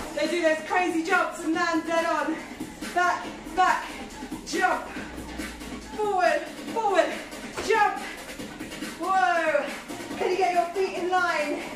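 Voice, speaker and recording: A woman speaks at an extremely high pitch and a very slow pace, with monotone, flat intonation and long, frequent pauses. Clear music plays in the background, and the room echo is audible. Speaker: workout instructor. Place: kitchen. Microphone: camera far.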